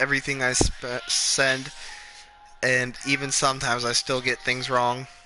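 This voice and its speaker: Over music in the background, a man's voice holds a medium pitch. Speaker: gaming streamer. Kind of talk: casual chat. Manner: stuttering.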